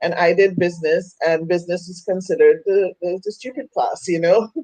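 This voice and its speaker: A woman's medium-pitched voice in a Trinidadian accent, at a moderate pace with ordinary pitch variation. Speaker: women's coach. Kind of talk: interview testimony. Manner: halting.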